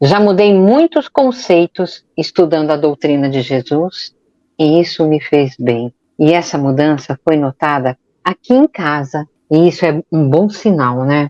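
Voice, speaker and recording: In a quiet background, a woman with a very deep, low pitch talks at a fairly slow pace. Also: ordinary pitch variation, dry, close sound with no echo. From São Paulo, Brazil. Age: 60s. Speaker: podcast co-host. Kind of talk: self-introduction in podcast.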